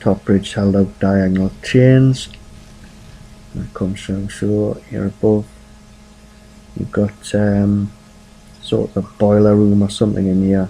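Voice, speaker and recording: A man with a fairly low pitch speaks at a fairly slow pace in a monotone, flat intonation, with long, frequent pauses. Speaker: gaming video creator. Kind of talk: game walkthrough commentary. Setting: home at night. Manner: quiet, keeping voice down; casual, hesitant with fillers.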